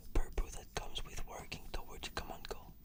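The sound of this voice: A man is whispering. His pace is moderate.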